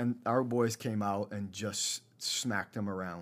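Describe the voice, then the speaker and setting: On a very clean recording with a silent background, a man with a plain, everyday voice speaks at medium pitch with fairly even intonation. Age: 40s. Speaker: high school football coach. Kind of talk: interview.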